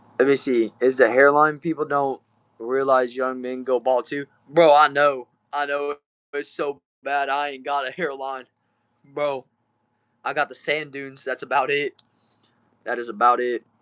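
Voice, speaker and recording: A man with a Southern Texas accent speaks at a moderate pace in a fairly high voice, leaving long, frequent pauses. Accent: Southern Texan. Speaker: streamer. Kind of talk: live stream chat reading comments. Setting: back shed. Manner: casual, upbeat.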